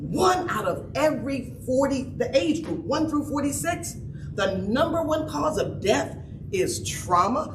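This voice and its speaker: A loud, animated woman at high pitch with lively intonation and a fairly slow pace, amid noticeable background noise and audible room echo. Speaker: trauma expert speaker. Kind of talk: conference talk. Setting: stage with audience.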